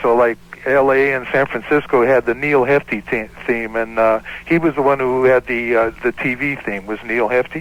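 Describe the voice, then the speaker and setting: A man with an ordinary speaking voice keeps a medium pitch, a moderate pace and fairly even intonation. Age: 60s. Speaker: caller, former band guitarist, chef. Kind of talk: casual chat.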